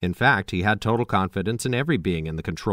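The voice heard is a natural reading voice.

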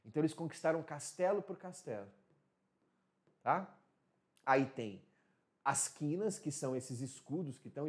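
The background stays quiet. A man talks in a fairly high pitch. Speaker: teacher. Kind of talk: lecture. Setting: live stream. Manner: animated. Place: studio.

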